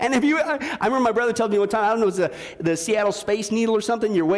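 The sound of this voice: Someone reads in an unforced voice.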